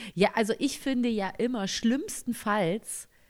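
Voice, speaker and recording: Speaking in a plain, everyday voice, a woman talks at a fairly slow pace with a fairly high pitch and ordinary pitch variation. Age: young. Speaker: podcast co-host. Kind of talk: casual chat.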